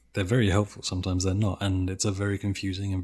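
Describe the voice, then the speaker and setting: A man talks at a very fast pace in a very deep, low voice that is somewhat breathy and monotone, with flat intonation. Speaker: gaming content creator. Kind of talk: interview answer.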